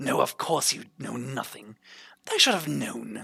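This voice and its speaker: Gruff and put-on, this is a man's character voice. He speaks at a fairly slow pace. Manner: gruff, dismissive.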